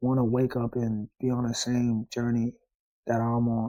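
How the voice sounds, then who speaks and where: A man with an American accent speaks at a medium pitch in a flat monotone. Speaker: vlogger. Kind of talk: personal vlog monologue. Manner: halting.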